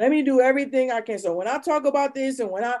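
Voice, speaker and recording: Lively in intonation, a woman with an American accent speaks in a plain, everyday voice. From Ohio, Akron. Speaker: real estate investor and home inspector. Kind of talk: casual chat.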